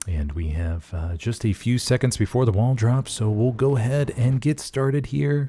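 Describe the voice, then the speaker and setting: This man has a dark, mellow tone, medium pitch and a somewhat breathy quality. His intonation is lively, and the recording is very clean with a silent background. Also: moderate pace. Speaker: game commentator; voice actor. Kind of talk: live esports play-by-play commentary. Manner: casual, conversational.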